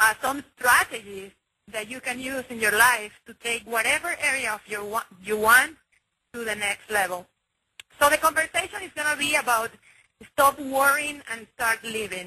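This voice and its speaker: Her loudness swings widely as a woman with a high pitch and bright, sharp tone speaks at a moderate pace with lively intonation. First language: Spanish. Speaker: online marketing team leader. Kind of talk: motivational conference call talk. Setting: conference call. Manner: enthusiastic, with many filler words.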